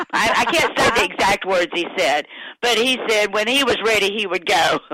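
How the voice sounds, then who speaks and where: A woman's medium-pitched voice at a moderate pace, lively in intonation and very even in loudness, with noticeable background noise. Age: 60s. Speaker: widow of a musician. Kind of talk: interview. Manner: halting.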